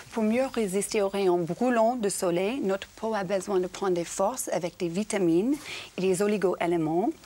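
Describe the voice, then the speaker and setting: Speaking at a fairly slow pace, a woman with a dark, mellow tone uses a medium pitch and ordinary pitch variation. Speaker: TV presenter on parenting show. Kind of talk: TV studio segment, lifestyle tips.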